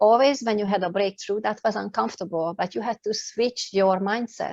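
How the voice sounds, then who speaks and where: A woman speaks at a fairly quick pace in a medium pitch with some vocal fry and ordinary pitch variation, her voice dry and close with no echo against a quiet background. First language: not English. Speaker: life coach and speaker. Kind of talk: interview. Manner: halting.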